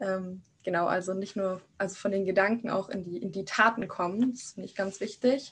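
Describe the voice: With a slightly husky edge to a fairly bright tone, a woman talks at a fairly quick pace in a medium pitch and fairly even intonation.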